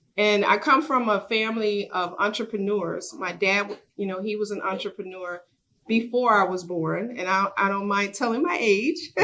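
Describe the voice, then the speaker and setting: Her pitch is medium, and her pitch variation is ordinary. This woman speaks in an unremarkable speaking voice at a moderate pace. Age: 60s. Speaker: business owner and community leader. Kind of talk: workshop sharing.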